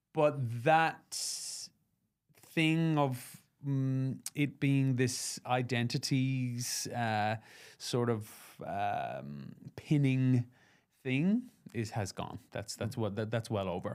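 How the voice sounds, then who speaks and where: A man speaks at medium pitch with ordinary pitch variation. His pace is very slow, with long, frequent pauses. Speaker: musical theatre actor. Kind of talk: podcast interview answer. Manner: reflective, conversational.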